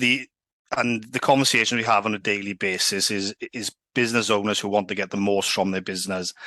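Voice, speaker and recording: A man with a Welsh Valleys accent talks at a fairly quick pace, his voice fairly low yet bright and sharp in tone, with monotone, flat intonation. The sound is dry and close with no echo, over a quiet background. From Wales, Swansea valleys. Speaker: sales executive. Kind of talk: casual interview.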